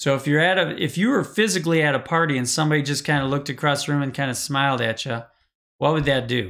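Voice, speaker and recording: A man speaks in a fairly high voice. The recording is very clean, with a silent background. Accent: Wisconsin. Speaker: live-stream coach on social media marketing. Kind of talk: live stream talk. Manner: casual, filler-heavy.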